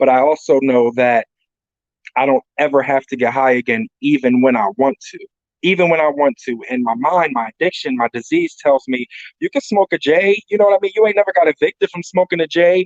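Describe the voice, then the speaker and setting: Fairly high in pitch, a man speaks fairly quickly with lively intonation and a plain, everyday voice. The sound is dry and close, with no echo. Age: 40s. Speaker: drug addiction counselor, workshop panelist. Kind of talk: workshop presentation. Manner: casual, conversational.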